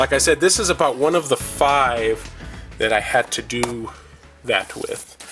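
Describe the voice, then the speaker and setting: Backed by music, the talking unfolds fairly slowly. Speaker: video game collector. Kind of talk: casual talk to camera.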